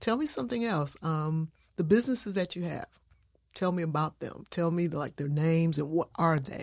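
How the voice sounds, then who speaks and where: Woman speaking at a moderate pace. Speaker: podcast host. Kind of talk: interview. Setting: studio.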